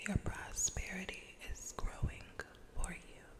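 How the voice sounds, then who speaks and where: A woman's whisper at a very slow pace over noticeable background noise. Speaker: ASMR artist. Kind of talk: ASMR affirmations. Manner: whispered, soft-spoken.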